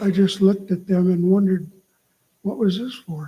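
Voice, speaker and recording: Speaking at a moderate pace, a man uses a high-pitched voice with a dark, mellow tone and a monotone, flat intonation. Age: 70s. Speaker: stroke survivor and author. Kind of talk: reading aloud.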